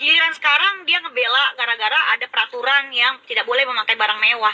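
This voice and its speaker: In a raised, projected voice, a woman speaks at a very fast pace with ordinary pitch variation. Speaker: live streamer. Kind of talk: casual live stream rant. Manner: sounds aggressive, like revving up.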